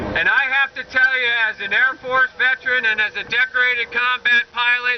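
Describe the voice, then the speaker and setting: Against noticeable background noise, a man talks at a moderate pace in an extremely high pitch, his intonation fairly even. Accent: American. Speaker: military veteran and political candidate. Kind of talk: political rally speech. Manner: bold, forthright.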